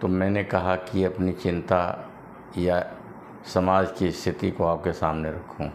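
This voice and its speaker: In a very deep, low pitch, a man talks with monotone, flat intonation. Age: 60s. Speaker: social commentator. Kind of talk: monologue commentary.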